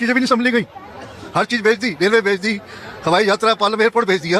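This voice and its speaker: With crowd noise in the background, a man speaks in an animated tone at a high pitch. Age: 70s. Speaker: interviewee in street interview. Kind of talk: heated debate.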